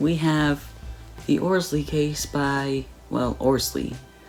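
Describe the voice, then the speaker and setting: A very slow pace with music in the background. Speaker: product reviewer. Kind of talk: casual product review talk. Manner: occasional stutter, repeats words.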